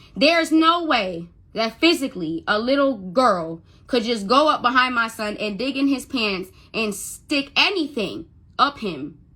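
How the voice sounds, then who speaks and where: A woman's high, bright, sharp voice with very wide pitch swings at a fairly slow pace, on a very clean recording with a silent background. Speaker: mother telling her story. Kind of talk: testimony. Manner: stuttering when upset; emotional, halting.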